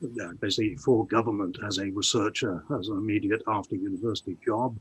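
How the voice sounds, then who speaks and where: A man speaks in a somewhat breathy voice. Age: 60s. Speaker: economist and writer. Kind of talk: casual chat.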